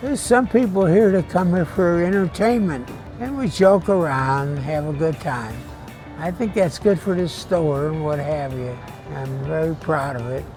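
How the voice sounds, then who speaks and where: Lively, fairly high-pitched male speech at a moderate pace, with music in the background. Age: 80s+. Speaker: World War II veteran; grocery store bagger. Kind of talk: interview answer.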